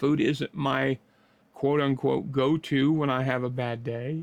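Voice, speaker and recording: This man has a plain, everyday voice, fairly high in pitch with ordinary variation, recorded with a dry, close sound and no echo. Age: 60s. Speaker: vlogger sharing weight loss journey. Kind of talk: casual motivational talk to camera.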